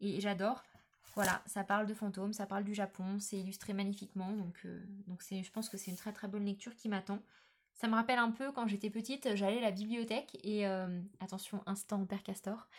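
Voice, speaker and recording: At a fairly quick pace, a woman speaks in a medium-pitched voice. Her delivery is somewhat breathy. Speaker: book podcaster. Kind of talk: casual monologue. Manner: animated.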